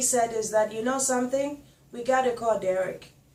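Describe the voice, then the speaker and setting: Over noticeable background noise, a woman speaks in a high voice at a moderate pace with fairly even intonation. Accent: strong non-native. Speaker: guest telling life story. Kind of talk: testimony.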